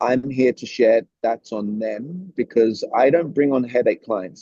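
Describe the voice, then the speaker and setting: A man talks at a moderate pace and medium pitch with ordinary pitch variation. His tone is dark and mellow, and the sound is dry and close with no echo. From Britain. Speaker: communication coach. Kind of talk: interview. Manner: animated.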